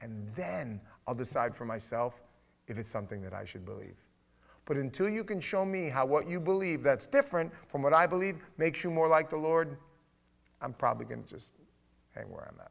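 A man speaks at a fairly quick pace and a fairly high pitch, in an animated tone with very wide pitch swings and long, frequent pauses. The recording is very clean, with a silent background. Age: 50s. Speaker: pastor leading a Bible study. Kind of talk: Bible study teaching.

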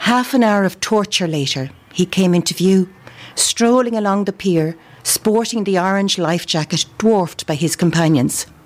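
A woman with a Dublin accent, medium pitch, ordinary pitch variation, and a moderate pace. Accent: Dublin Irish. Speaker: amateur writer. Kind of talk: reading aloud.

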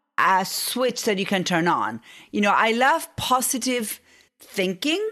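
In a very clean recording with a silent background, a woman with a fairly high pitch and a bright, sharp tone speaks very slowly. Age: 40s. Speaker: business coach and strategist. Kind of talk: interview. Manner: halting.

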